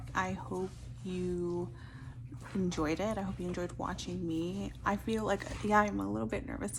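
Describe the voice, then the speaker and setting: A woman whispers at a fairly slow pace, with audible room echo and noticeable background noise. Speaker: beauty youtuber. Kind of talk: makeup tutorial. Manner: whispering.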